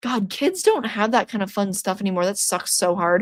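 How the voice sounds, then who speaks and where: This very clean recording, with a silent background, captures a woman speaking. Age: 20s. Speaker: horror YouTuber streaming trivia. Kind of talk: casual livestream chat.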